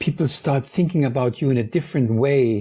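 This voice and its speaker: A man with a German accent has a dark, mellow tone and a somewhat breathy voice. His pitch varies in an ordinary way. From Germany, Munich. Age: 50s. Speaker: DJ. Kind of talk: interview conversation. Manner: halting, searching for words.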